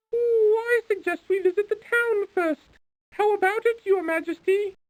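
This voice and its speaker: It is a put-on character voice, squeaky and extremely high in pitch. The pace is moderate. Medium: video game. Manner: fussy, polite.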